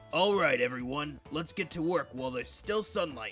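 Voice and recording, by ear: A man puts on a raspy character voice at a fairly high pitch and a moderate pace, with faint music in the background.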